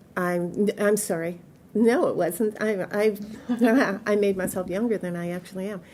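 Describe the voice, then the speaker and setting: A woman speaks at medium pitch with a Midwestern American accent. Her pace is moderate and her intonation fairly even. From US Midwest, Detroit. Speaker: oral history interviewee. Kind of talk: oral history interview. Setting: museum.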